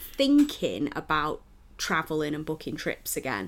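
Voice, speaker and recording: A woman with a Mancunian accent, fairly slow pace and very wide pitch swings, in a very clean recording with a silent background. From Manchester, England. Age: 30s. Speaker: wrestling podcast co-host. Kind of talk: casual chat.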